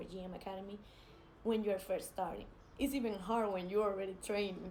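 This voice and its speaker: A woman with a Spanish accent speaks at a medium pitch with fairly even intonation. Audible room echo and noticeable background noise surround her. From Spain. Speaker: jiu-jitsu athlete. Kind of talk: casual vlog advice. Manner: hesitant, many fillers.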